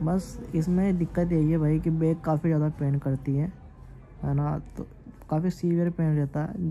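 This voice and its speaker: Faint music plays in the background. A man speaks with monotone, flat intonation. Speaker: vlogger. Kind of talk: casual vlog chat. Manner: slow, weak voice while in pain. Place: home room. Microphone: phone near.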